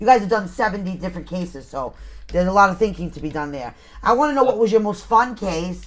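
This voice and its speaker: Animated and lively in intonation, a woman speaks at a medium pitch with vocal fry and big swings in loudness. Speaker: paranormal radio show co-host. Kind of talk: casual chat.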